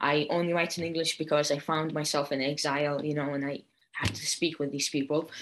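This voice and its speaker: With an Arabic accent, a woman speaks at a fairly quick pace in a very deep, low voice with monotone, flat intonation. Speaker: poet and translator. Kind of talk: panel discussion. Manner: many fillers and hesitations.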